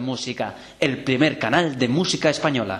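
A man talks at a medium pitch. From Spain. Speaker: voice actor. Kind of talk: radio promo read.

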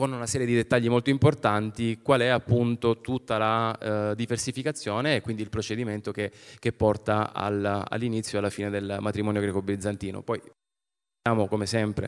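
The background is quiet as a man speaks at a moderate pace. His intonation stays fairly even. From Calabria, Arbëreshë community (Spezzano Albanese); Calabria, Italy. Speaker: film director; public presenter. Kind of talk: event presentation talk. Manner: hesitant, many fillers. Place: stage. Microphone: handheld.

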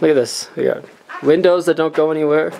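A man speaks over light background noise. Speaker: travel vlogger. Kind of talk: casual vlog chat. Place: open country. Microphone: phone near.

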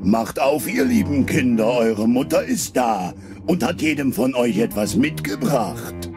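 Over clear background music, a man uses a put-on character voice at a medium pitch and a fairly slow pace. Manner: coaxing, deceptive.

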